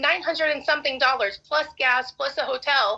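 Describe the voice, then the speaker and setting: Raised and projected, a woman's voice rings out bright and sharp at a high pitch. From Arkansas. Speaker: respondent in court hearing. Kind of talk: court testimony.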